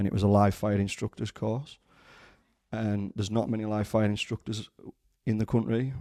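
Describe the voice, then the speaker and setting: Delivered at a fairly quick pace, this dark, mellow voice stays monotone and flat in a dry, close recording with no echo. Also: man. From northern England, Maryport, Cumbria. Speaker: firearms instructor. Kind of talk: casual interview. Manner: hesitant, many fillers and restarts.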